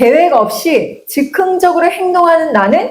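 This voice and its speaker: A woman is speaking. Her pitch is extremely high. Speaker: career counseling teacher. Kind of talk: casual panel talk. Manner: higher pitched than usual today.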